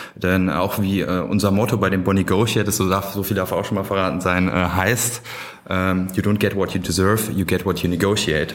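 A man with a very deep, low pitch speaks at a moderate pace in monotone, flat intonation and very even loudness. Audible room echo and noticeable background noise are present. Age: 20s. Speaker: student society chair. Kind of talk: podcast interview.

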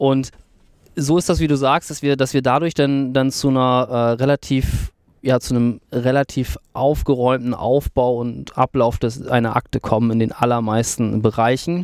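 A man talks at a moderate pace with fairly even intonation and a medium pitch, in a plain, everyday voice. The sound is dry and close, with no echo. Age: 30s. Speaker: legal tech company CEO. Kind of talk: interview conversation. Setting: in person at the guest's office.

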